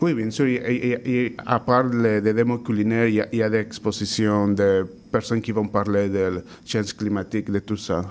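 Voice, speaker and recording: Speaking with a Spanish accent, a man uses a fairly low pitch and fairly even intonation. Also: moderate pace. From Mexico. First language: Spanish (speaking French). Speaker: chef. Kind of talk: interview.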